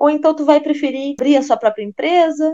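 Someone female is talking here. She keeps a moderate pace. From Brazil, Rio Grande do Sul. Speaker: French teacher, podcast co-host. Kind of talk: casual chat.

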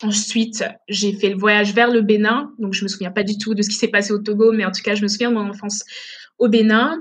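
A somewhat breathy woman at a fairly high pitch and fairly quick pace, with monotone, flat intonation. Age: 20s. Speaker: streamer and gaming association founder. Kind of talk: casual interview. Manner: halting, many fillers.

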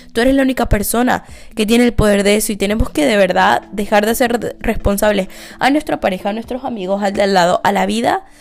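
Noticeable background noise runs under the clip. A woman with a fairly high voice speaks very fast. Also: ordinary pitch variation. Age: 20s. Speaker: podcast host. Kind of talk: casual monologue.

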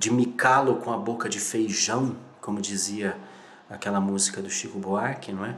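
Against music in the background and audible room echo, a man talks at a fairly slow pace with ordinary pitch variation. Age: 30s. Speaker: video creator. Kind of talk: motivational monologue. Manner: animated.

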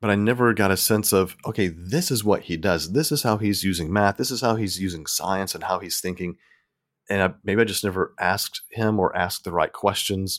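A man with a Southern US accent speaks at a fairly quick pace and a fairly low pitch. His pitch variation is ordinary, and the recording is very clean with a silent background. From US South. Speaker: podcaster. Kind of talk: casual chat.

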